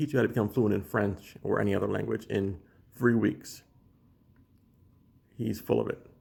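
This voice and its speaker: Vocal fry runs through this man's fairly low voice. He talks at a moderate pace with ordinary pitch variation. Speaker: language learning vlogger. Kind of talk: casual monologue video. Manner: halting, many restarts and fillers.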